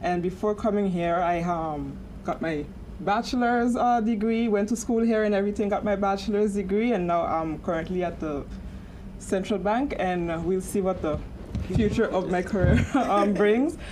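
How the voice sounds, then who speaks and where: Heard with audible room echo, a woman speaks at medium pitch and a moderate pace. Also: ordinary pitch variation. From St. Martin, Caribbean. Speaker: panelist, bank supervision officer. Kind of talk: panel discussion. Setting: studio with live audience. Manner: halting, many fillers.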